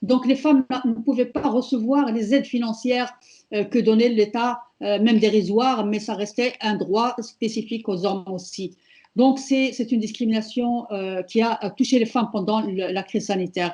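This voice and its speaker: Somewhat breathy, a woman speaks at a fairly high pitch with a dark, mellow tone and fairly even intonation against a quiet background. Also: moderate pace. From Morocco. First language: Amazigh (Berber) (speaking French). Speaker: feminist activist. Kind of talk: prepared speech at online panel. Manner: hesitant, many fillers.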